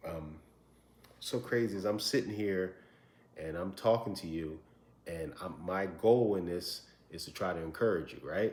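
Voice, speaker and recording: A man speaks quietly at a moderate pace, his pitch very deep and low with ordinary variation. Long pauses come often. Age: 40s. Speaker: vlogger sharing adoption story. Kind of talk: personal testimony to camera. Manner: halting, with repeated words.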